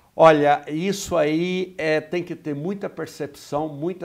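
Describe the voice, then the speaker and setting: At a very slow pace, a man with a rural Minas Gerais accent talks in a fairly high pitch with ordinary pitch variation. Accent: Minas Gerais interior (caipira). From Brazil, interior of Minas Gerais. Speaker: sales trainer, business owner. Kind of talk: interview. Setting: studio.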